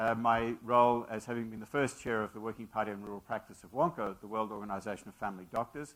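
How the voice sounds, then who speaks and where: Speaking at a very fast pace, a man with an Australian accent keeps a medium pitch. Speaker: physician and medical school leader. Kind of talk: lecture. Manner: halting, many fillers.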